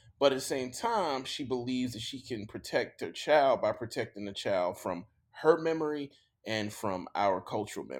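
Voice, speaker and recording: Recorded very cleanly against a silent background, a man with a Mississippi accent uses lively intonation and big swings in loudness. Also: medium pitch for a man, moderate pace. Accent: Mississippi Southern US. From US South, Jackson, Mississippi. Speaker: author and professor. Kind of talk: casual interview chat.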